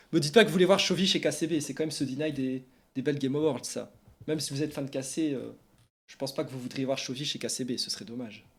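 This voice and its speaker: A very fast pace on a very clean recording with a silent background. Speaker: esports journalist and streamer. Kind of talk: casual live stream chat. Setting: live stream. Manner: animated.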